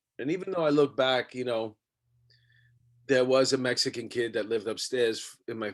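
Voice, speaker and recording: A man speaks with a New York accent. His pitch sits in the medium range. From New York City, Astoria Queens. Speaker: podcast host. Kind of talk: casual chat.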